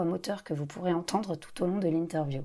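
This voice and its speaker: With a dark, mellow tone, a woman talks at a moderate pace on a very clean recording with a silent background. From Paris, France. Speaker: podcast host. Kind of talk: scripted intro then interview. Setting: outdoor café terrace.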